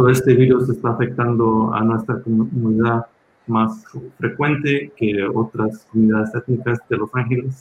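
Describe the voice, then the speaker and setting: Speaking at a fairly slow pace, a man holds a medium pitch in a flat, monotone delivery. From Los Angeles, raised there after emigrating from Mexico at six. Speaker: hospital physician. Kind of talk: panel talk with slides at a community health town hall. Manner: halting, many filler sounds.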